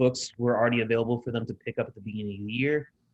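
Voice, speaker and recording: Pitched at a medium level, a man's voice comes with an American accent. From Southern California. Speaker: high school English teacher. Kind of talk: presentation to parents.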